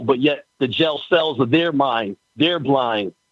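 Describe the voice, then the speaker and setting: A man with a normal speaking voice talks at a moderate pace, with a fairly high pitch and ordinary pitch variation. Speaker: spoken word poet, contest participant. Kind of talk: spoken word poetry, rhymed and rhythmic.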